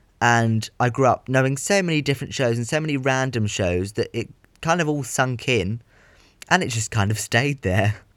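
A man talks at a medium pitch with ordinary pitch variation and a moderate pace. The recording is very clean, with a silent background. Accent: southern English. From southern England. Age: 20s. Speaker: podcaster and theatre production student. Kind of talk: casual monologue. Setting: home bedroom, under a duvet.

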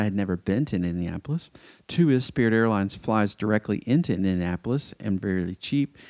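A man with an American accent and an unremarkable speaking voice talks at a fairly quick pace with a fairly low pitch and lively intonation. The sound is dry and close with no echo, in a very clean recording with a silent background. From US South, Metro Atlanta. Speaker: podcast host. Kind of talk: casual monologue.

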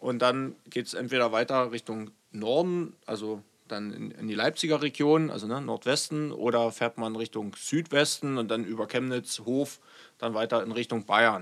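On a very clean recording with a silent background, a man with an ordinary speaking voice talks at a moderate pace in a medium pitch, with ordinary pitch variation. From eastern Germany, Saxony (Görlitz). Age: 30s. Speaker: state politician and police officer. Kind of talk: interview conversation.

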